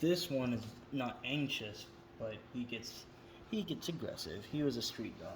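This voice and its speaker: A somewhat breathy man with lively intonation at a fairly slow pace, audible room echo around him. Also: medium pitch for a man. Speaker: vlogger. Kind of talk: casual monologue. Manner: halting, stuttering; rambling, talks in circles.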